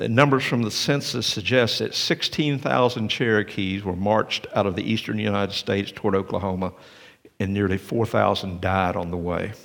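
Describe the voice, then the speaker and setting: With vocal fry and lively intonation, a man speaks at a moderate pace in a fairly low pitch. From Tennessee, near Cleveland. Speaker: pastor. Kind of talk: sermon. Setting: church.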